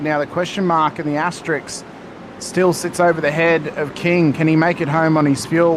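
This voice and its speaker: A man's fairly high voice, monotone and flat, at a moderate pace with noticeable background noise. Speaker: sim racing commentator. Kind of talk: live commentary. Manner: loud. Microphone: static, mic crackles from loud speech.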